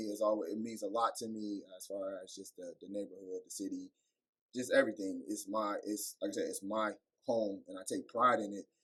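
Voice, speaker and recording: With an American accent, a man speaks at a fairly quick pace with big swings in loudness. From Cleveland, Ohio (Maple Heights). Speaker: teacher and author, podcast guest. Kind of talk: casual interview.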